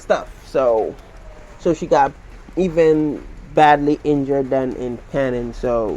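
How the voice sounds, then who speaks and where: This man speaks with a Central American accent. His pitch is fairly high, with ordinary variation. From Belize. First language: Garifuna. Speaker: YouTuber. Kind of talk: casual chat.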